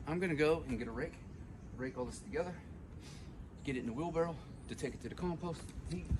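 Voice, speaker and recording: With noticeable background noise and audible room echo, a man with a fairly high pitch talks at a very fast pace, using ordinary pitch variation and long, frequent pauses. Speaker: home gardener vlogger. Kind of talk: casual vlog narration. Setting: outdoors in garden. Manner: loud.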